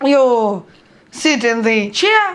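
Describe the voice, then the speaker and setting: Her voice makes very wide pitch swings. Noticeable background noise surrounds the woman. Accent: Russian. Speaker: book blogger. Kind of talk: book review vlog. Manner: halting.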